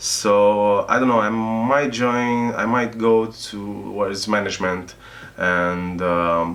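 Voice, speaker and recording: A man's fairly low voice with a non-native accent, very even loudness, fairly even intonation, a very slow pace, and audible room echo. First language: not English. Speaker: video game tester and trainer. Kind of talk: interview. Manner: halting, many fillers.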